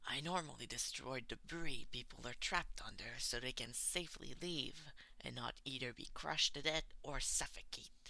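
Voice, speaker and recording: Using a put-on character voice, a man drawls at a moderate pace in a fairly high pitch with hardly any pauses. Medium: read story. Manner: bored drawl, flat and blunt.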